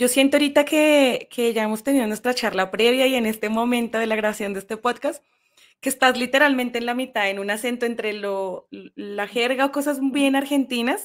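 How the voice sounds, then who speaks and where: A woman speaks at a fairly quick pace in a high voice with ordinary pitch variation. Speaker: podcast host and teacher trainer. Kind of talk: interview. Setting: podcast recording.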